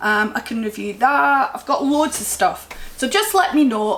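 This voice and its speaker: Speaking at a very slow pace, a woman talks with a strong Scottish accent. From Scotland. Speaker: crochet vlogger. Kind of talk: casual chat.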